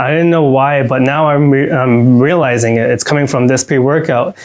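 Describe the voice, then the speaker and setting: Through noticeable background noise, a man with a fairly high pitch talks at a fairly quick pace. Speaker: supplement reviewer. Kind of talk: product review. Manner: fast; animated.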